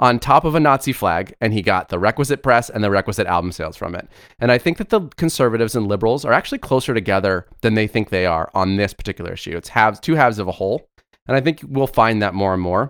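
With an American accent, a man rattles along at a very fast pace with lively intonation at a medium pitch, the sound dry and close with no echo on a very clean recording with a silent background. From South Florida. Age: 30s. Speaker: podcast co-host. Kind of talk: casual political chat.

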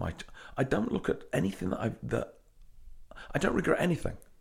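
The recording is very clean, and the background is silent. The speaker is a man with a British accent. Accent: British, charming. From England. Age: 40s. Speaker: gym owner. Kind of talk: interview storytelling. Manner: energetic.

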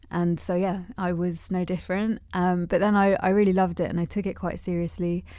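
Woman with a London accent, medium pitch and a dark, mellow tone, monotone and flat, at a fairly quick pace with hardly any pauses, on a very clean recording with a silent background. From London, England. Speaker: musician and DJ. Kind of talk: casual chat. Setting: radio studio. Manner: hesitant, filler-heavy.

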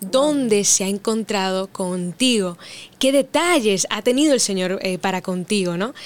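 On a very clean recording with a silent background, a woman speaks in a plain, everyday voice at medium pitch and a moderate pace. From Dominican Republic. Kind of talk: casual chat.

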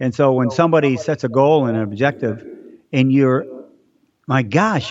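A man speaks in a warm tone at a medium pitch. His intonation is lively. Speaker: race announcer. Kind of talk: casual interview. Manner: warm, laughs often.

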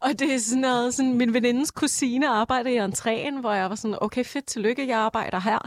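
A woman's high-pitched voice at a moderate pace, with very even loudness and fairly even intonation. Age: 20s. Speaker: nursing student, former nightclub bartender. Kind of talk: casual chat.

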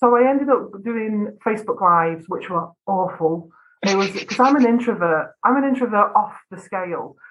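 Her voice sits at medium pitch, and the woman speaks in a northwest English accent. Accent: northwest English, flat vowels. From northwest England. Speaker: video business owner. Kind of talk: casual interview chat.

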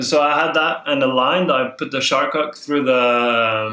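A man is speaking here. He has a medium pitch and a Norwegian accent. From southern Norway. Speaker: spearfisher. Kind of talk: casual chat.

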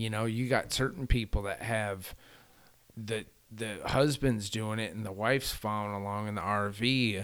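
A man with a fairly low pitch, ordinary pitch variation and an unremarkable speaking voice, at a moderate pace. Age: 40s. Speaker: long-distance cycle tourist. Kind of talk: casual chat.

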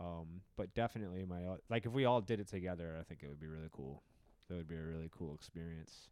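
Very deep and low-pitched, a man with an American accent speaks at a very fast pace with ordinary pitch variation. The recording is very clean, with a silent background. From Wisconsin, US. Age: 30s. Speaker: comedian. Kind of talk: casual chat.

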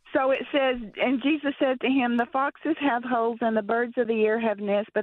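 This woman has an American accent. Her pitch variation is ordinary. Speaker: caller. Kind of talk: radio call-in question. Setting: phone call. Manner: halting.

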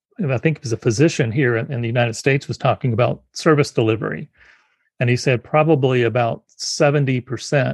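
Vocal fry marks a man's medium-pitched voice at a moderate pace. The sound is dry and close with no echo, and his pitch varies in an ordinary way. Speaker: podcast host. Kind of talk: interview conversation.

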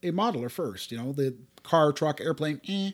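A man's normal speaking voice, fairly high in pitch, with a Canadian accent, at a moderate pace in a very clean recording with a silent background. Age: 60s. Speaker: podcast co-host. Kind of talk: casual chat. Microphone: new high-end microphone.

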